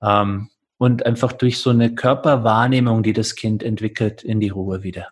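At a moderate pace, a man talks with a somewhat breathy voice and fairly even intonation. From California, USA. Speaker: yoga teacher. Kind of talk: interview; guided meditation instructions.

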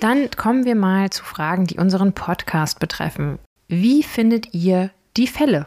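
A woman with a plain, everyday voice, medium pitch, lively intonation and a fairly slow pace. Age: 30s. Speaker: podcast host. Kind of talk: casual Q&A chat.

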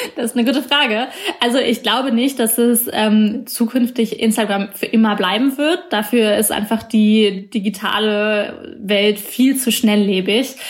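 Against noticeable background noise, a woman with a fairly high voice talks at a fairly slow pace with hardly any pauses. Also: fairly even intonation. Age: 20s. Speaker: journalist. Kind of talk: interview.

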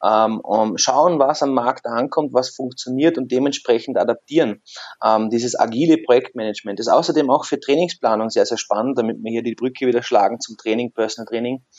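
At a fairly quick pace, a man talks in an ordinary speaking voice of medium pitch with ordinary pitch variation. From southern Germany, Lake Constance / Lindau area. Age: 30s. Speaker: personal trainer studio owner and scientist. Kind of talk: casual interview.

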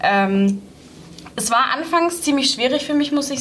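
A woman's moderate-paced talking comes with music playing behind it. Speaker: university student and intern. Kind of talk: interview. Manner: hesitant, many filler sounds.

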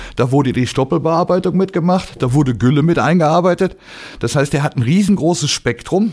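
A man with a plain, everyday voice, fairly high in pitch, with ordinary pitch variation, very even loudness and a moderate pace, on a very clean recording with a silent background. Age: 50s. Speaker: agricultural machinery trainer. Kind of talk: casual interview.

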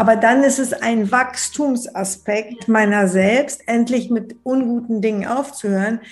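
An ordinary speaking voice from a woman, fairly high in pitch with fairly even intonation, at a fairly slow pace with hardly any pauses. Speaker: bestselling author on love and relationships. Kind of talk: interview conversation.

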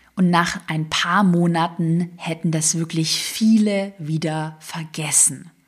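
Hardly pausing, a woman speaks very slowly at fairly low pitch with fairly even intonation. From Swabia, southwest Germany. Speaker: online business coach. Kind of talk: motivational solo podcast.

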